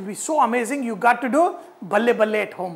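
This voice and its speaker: Here a man talks at a fairly quick pace. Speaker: cooking show host. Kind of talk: tutorial. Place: kitchen. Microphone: lapel.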